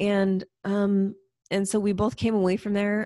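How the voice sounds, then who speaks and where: A woman with an American accent talks at a moderate pace. The recording is very clean with a silent background. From US Pacific Northwest (Spokane, Washington). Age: 30s. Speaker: entrepreneur teaching medicinal mushroom use. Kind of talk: casual interview chat.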